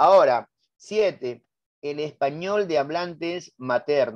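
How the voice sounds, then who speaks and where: Here a man talks at a fairly high pitch. His pitch varies in an ordinary way. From Peru, Lima. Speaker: teacher. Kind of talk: lecture. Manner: animated.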